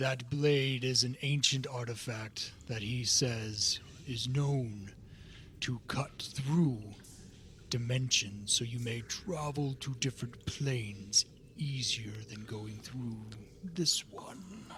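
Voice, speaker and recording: A man's put-on character voice at a medium pitch, very slow pace, and clear background noise. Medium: actual play. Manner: formal, slow, no contractions.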